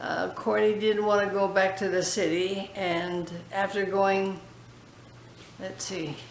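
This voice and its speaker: A woman's very slow, monotone delivery with flat intonation, medium pitch, an American accent, long, frequent pauses and audible room echo. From California, US. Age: 80s+. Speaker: foundation founder interviewee. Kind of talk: interview. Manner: halting.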